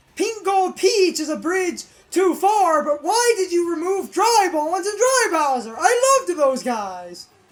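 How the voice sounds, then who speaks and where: The speaker talks at a fairly slow pace with lively intonation. Noticeable background noise is present. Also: man, extremely high pitch for a man. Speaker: gaming video creator. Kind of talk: casual gameplay commentary. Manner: loud.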